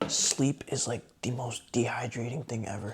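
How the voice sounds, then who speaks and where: A man's voice against noticeable background noise. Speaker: vlogger. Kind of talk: casual vlog talk.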